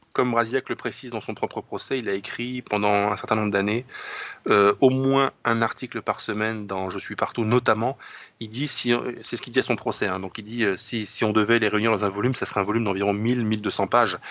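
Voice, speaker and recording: Fairly quick speech from a man of medium pitch in a monotone, flat intonation. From France, Lorraine. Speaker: writer and commentator. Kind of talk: literary discussion.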